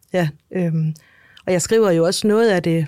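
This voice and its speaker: A woman's dark, mellow voice at medium pitch, with ordinary pitch variation. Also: dry, close sound with no echo. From Denmark. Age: 40s. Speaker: author. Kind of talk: interview. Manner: halting.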